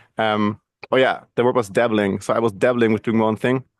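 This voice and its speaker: With a German accent, a man talks at a very fast pace. The sound is dry and close, without echo. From Germany. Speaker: video and podcast producer. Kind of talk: interview. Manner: halting.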